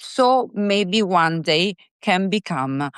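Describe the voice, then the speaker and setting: A woman with an Italian accent and lively intonation, in a dry, close recording with no echo and a quiet background. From Italy. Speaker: singer-songwriter. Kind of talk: interview. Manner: halting, with many fillers and repeats.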